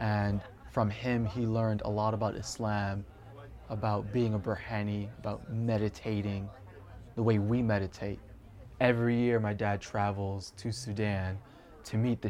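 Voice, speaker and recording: Speaking in a New York accent, a man uses a fairly low pitch and fairly even intonation at a moderate pace. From New York, the Bronx. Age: 20s. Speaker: skateboarder. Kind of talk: documentary interview. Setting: at home.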